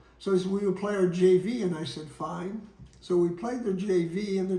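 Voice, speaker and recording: Audible room echo surrounds a man with a high pitch. He speaks at a moderate pace with fairly even intonation. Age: 80s+. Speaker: retired basketball coach telling his life story. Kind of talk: memoir storytelling. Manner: halting, with fillers.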